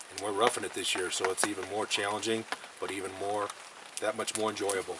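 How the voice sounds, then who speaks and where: Over noticeable background noise, a man rattles along at a very fast pace in a fairly low, monotone, flat voice. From Missouri (St. Louis area). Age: 60s. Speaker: elk hunter, retired construction worker. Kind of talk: casual interview.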